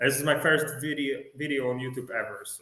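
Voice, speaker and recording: A fairly high-pitched man with a Polish accent, in audible room echo. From Poland. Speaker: music fan vlogger. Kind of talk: casual video review. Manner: halting, with many fillers.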